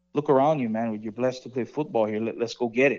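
Against a quiet background, a man talks at a fairly quick pace and medium pitch. His tone is dark and mellow, his intonation fairly even. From Hawaii. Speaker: high school football coach. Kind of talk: radio interview. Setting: phone call. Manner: halting, many repetitions.

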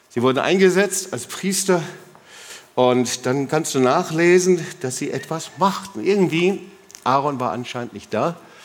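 A man with a high pitch speaks in an animated tone at a fairly slow pace with lively intonation, amid noticeable background noise and audible room echo. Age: 60s. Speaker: pastor. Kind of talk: sermon.

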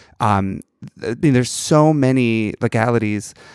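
In an ordinary speaking voice with an American accent, a man talks at a moderate pace with ordinary pitch variation, in a very clean recording with a silent background and a dry, close sound with no echo. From New York. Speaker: flight attendant, podcast co-host. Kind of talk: casual chat.

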